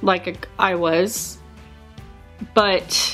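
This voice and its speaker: Backed by music, a woman speaks with a medium pitch. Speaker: vlogger. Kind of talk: casual talk to camera.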